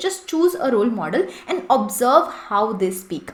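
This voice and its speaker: Noticeable background noise behind a woman's fairly quick speech. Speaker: English and interview-prep coach. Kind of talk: tutorial. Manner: fast.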